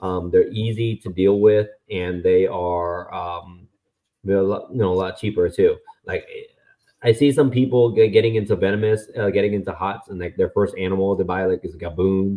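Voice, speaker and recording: This man talks at a moderate pace with fairly low pitch and fairly even intonation. He has a normal speaking voice. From US (born in Vietnam, moved 1993 as a child). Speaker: venomous snake keeper. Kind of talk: casual chat. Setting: live stream.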